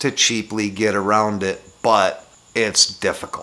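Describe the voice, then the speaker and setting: The voice belongs to a man. It is pitched in the medium range. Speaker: motovlogger. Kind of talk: casual vlog monologue. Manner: casual, hesitant with fillers.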